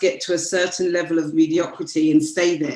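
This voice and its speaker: A British accent at a moderate pace, with ordinary pitch variation. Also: woman. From United Kingdom. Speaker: branding strategist. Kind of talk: interview.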